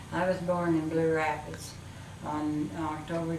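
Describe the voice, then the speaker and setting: With a Midwestern US accent, a woman speaks in a very deep, low pitch and monotone, flat intonation, with audible room echo and noticeable background noise. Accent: US Midwest. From Kansas. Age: 80s+. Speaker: local resident. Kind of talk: oral history interview. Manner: halting.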